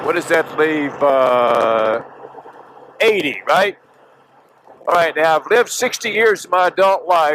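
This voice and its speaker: Against noticeable background noise, a man with a high voice speaks with long, frequent pauses. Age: 70s. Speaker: motorcycle vlogger. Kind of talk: vlog monologue. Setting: riding a motorcycle on a highway. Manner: casual, halting with fillers.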